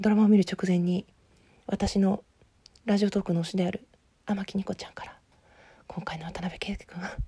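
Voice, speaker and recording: A woman speaks at medium pitch in a dark, mellow, somewhat breathy tone. Her intonation stays monotone and flat while her loudness swings widely. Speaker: podcaster discussing a TV drama. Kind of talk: casual monologue. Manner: fast.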